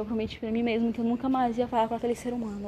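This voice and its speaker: Amid noticeable background noise, a woman talks at a fairly high pitch with monotone, flat intonation. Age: 20s. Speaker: vlogger. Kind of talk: personal testimony monologue.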